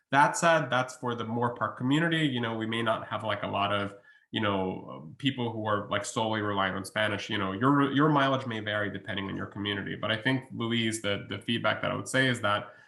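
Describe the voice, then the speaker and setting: A man with a Russian accent at a fairly quick pace, hardly any pauses, ordinary pitch variation and noticeable background noise. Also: medium pitch for a man. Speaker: college researcher. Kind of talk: webinar Q&A. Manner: hesitant, many fillers.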